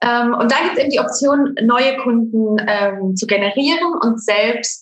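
Here a woman speaks with a normal speaking voice at a fairly high pitch. Her pace is fairly slow and her pitch variation ordinary. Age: 30s. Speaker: network marketing saleswoman. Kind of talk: casual interview. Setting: home office.

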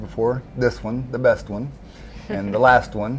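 This man has a normal speaking voice, medium in pitch, with fairly even intonation at a moderate pace. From US South, Arkansas. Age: 40s. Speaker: recovery coach. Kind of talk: casual chat.

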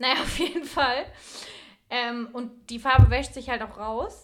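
Animated in tone, a woman speaks at a fairly slow pace with a fairly high pitch and ordinary pitch variation. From Franconia, Germany. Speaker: podcast co-host. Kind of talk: casual chat. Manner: animated, laughing.

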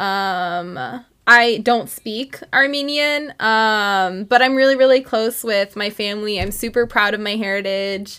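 In a bright, sharp tone, a woman speaks at a fairly slow pace with hardly any pauses and ordinary pitch variation on a very clean recording with a silent background. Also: fairly high pitch for a woman. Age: 20s. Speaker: podcast co-host, college student. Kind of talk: casual chat.

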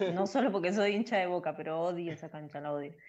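A woman's fairly low voice with a Rioplatense accent and ordinary pitch variation. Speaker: women's football player. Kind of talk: interview.

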